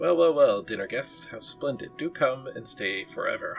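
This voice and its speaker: A man speaks in a croaky, put-on character voice at a moderate pace, with clear music playing in the background. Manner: welcoming but sinister.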